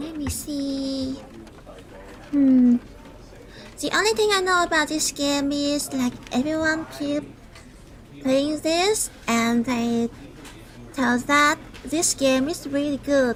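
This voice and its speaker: With noticeable background noise, a woman speaks at a high pitch with ordinary pitch variation. Her delivery is very slow, broken by long, frequent pauses. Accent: Vietnamese. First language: Vietnamese. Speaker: vtuber streamer. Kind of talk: game livestream chat. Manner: hesitant, halting.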